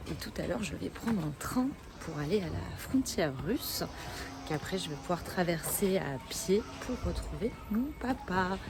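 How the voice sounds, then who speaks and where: Music plays in the background as a woman talks at a fairly low pitch. She moves at a fairly slow pace with very wide pitch swings. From France. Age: 20s. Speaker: travel vlogger. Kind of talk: travel vlog. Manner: hesitant, many fillers.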